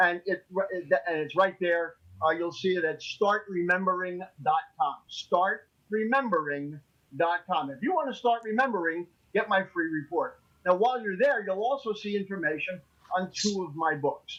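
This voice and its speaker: A man's high-pitched voice moves at a moderate pace. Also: ordinary pitch variation. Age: 60s. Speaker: memory and learning expert. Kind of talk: radio talk show interview. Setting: studio.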